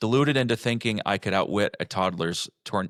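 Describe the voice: Plain reading aloud with ordinary pitch variation is heard over a quiet background.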